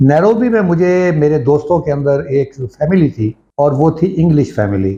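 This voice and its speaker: A man's fairly high, somewhat breathy voice with a dark, mellow tone and lively intonation. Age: 70s. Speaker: agriculture expert and health channel host. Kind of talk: informal talk to camera.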